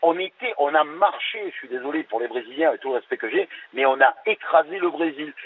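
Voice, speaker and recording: The man's fairly high voice rises and falls with lively intonation. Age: 60s. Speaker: caller. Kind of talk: radio call-in discussion. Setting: phone call. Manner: hesitant, many fillers.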